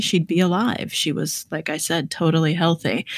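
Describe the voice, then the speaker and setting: A woman has an unremarkable speaking voice, with fairly even intonation at a moderate pace. The recording is very clean, with a silent background and a dry, close sound with no echo. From born in the Soviet Union, raised in the US. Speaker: author and poker player. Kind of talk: interview.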